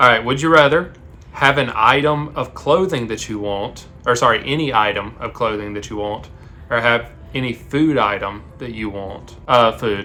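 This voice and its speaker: With an American accent, a man speaks at a medium pitch and moderate pace, with ordinary pitch variation and big swings in loudness. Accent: Southern US, comes out on some words. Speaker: vlogger. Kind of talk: casual chat.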